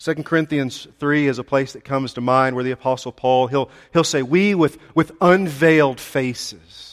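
A man with a fairly high voice speaks at a moderate pace with ordinary pitch variation and hardly any pauses. The sound is dry and close, with no echo. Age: 40s. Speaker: pastor. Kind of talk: sermon. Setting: church. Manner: halting, with frequent repetitions.

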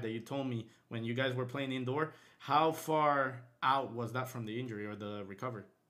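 With an ordinary speaking voice, a man talks at a fairly quick pace and a medium pitch, using ordinary pitch variation. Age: 20s. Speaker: podcast host. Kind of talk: casual chat.

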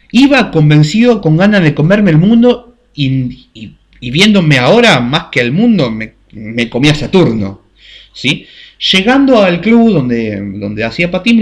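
Speaking fairly slowly in a Rioplatense accent, a man sounds somewhat breathy as his pitch swings very widely. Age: 20s. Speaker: podcast host. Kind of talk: casual storytelling monologue. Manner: halting.

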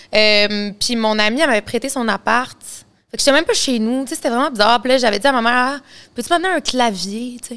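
A bright, sharp tone in a Quebec accent at a fairly quick pace, on a very clean recording with a silent background. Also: woman, high pitch for a woman, ordinary pitch variation. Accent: Québécois French. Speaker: singer. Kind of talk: casual interview.

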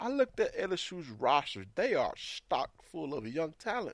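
A man speaks at a moderate pace with a Southern US accent and an animated tone. The recording is very clean, with a silent background. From Mississippi. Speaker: sports podcaster. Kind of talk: sports recap podcast.

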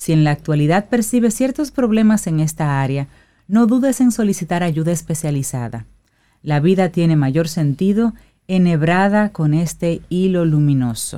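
A woman talks at a moderate pace with a dark, mellow tone and fairly low pitch. Her pitch swings very widely while her loudness stays very even, on a very clean recording with a silent background. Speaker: radio co-host. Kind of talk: morning radio show.

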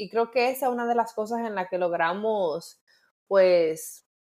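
A woman with a Dominican accent and ordinary pitch variation is heard on a very clean recording with a silent background. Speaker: podcast co-host. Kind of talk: casual chat.

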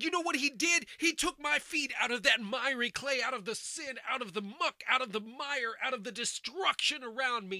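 A man's extremely high-pitched, raised, projected voice, lively in intonation at a moderate pace, with a dry, close sound with no echo. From United States. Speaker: bible teacher. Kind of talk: sermon. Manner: animated.

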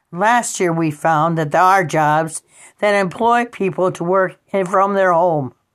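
This woman has a plain, everyday voice with a fairly low pitch and ordinary pitch variation. She speaks at a fairly slow pace in a very clean recording with a silent background. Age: 60s. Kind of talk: personal monologue.

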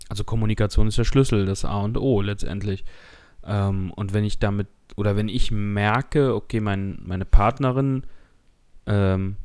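Recorded very cleanly with a silent background, a man speaks at a moderate pace and fairly low pitch with ordinary pitch variation in an ordinary speaking voice. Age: 20s. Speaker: podcast co-host, IT technician. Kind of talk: casual chat.

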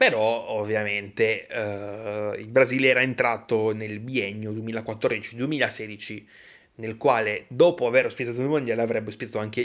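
In a very clean recording with a silent background, a man with a plain, everyday voice speaks at medium pitch and a fairly slow pace, his loudness swinging widely. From Italy. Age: 20s. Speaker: podcaster. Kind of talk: solo monologue on football history. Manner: casual, with frequent fillers.

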